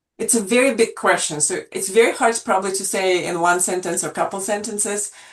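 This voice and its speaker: A woman with a Russian accent, medium in pitch with ordinary pitch variation, at a fairly quick pace. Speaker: portrait photographer. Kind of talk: interview. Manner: halting, many fillers.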